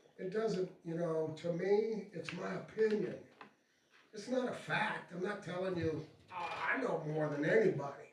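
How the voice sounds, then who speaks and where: This man has a high voice and an American accent, with noticeable background noise and audible room echo. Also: ordinary pitch variation, moderate pace. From Florida, Tampa. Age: 70s. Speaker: retired pro wrestler. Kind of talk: talk to an audience.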